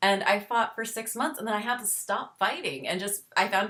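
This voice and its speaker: Her intonation lively, a woman of medium pitch talks at a moderate pace. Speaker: chronic illness podcast host. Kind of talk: interview. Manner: halting.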